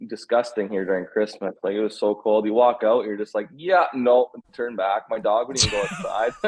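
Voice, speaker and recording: Speaking in a Canadian accent at a moderate pace, a man has a normal speaking voice at a medium pitch with ordinary pitch variation. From Canada (Saskatchewan). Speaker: former college baseball player. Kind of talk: casual chat.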